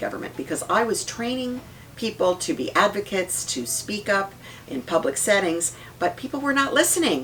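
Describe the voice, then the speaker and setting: Against noticeable background noise, a woman talks at a moderate pace. Her pitch is medium. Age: 60s. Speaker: politician. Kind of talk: interview.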